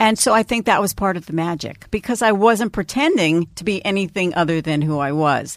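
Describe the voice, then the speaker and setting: Hardly pausing at a fairly quick pace, a woman with an unremarkable speaking voice uses lively intonation at a medium pitch, on a very clean recording with a silent background. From New York, Long Island. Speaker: radio personality. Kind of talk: interview.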